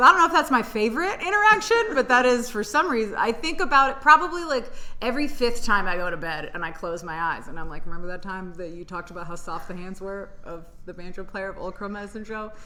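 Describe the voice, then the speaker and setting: In an American accent, a woman talks very fast with hardly any pauses, very wide pitch swings and big swings in loudness, amid noticeable background noise and audible room echo. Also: fairly high pitch for a woman. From Tennessee, US South. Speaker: stand-up comedian. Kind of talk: casual chat. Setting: comedy club room.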